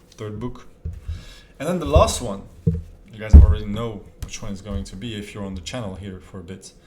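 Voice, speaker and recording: A man talks at a moderate pace, fairly low in pitch with ordinary pitch variation and big swings in loudness. Noticeable background noise and audible room echo fill the recording. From France. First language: French. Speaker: self-improvement youtuber. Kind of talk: casual talk to camera.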